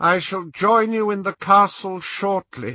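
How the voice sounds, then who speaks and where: Using a put-on character voice, a man speaks at a high pitch. He goes at a fairly slow pace with ordinary pitch variation. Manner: cold, commanding.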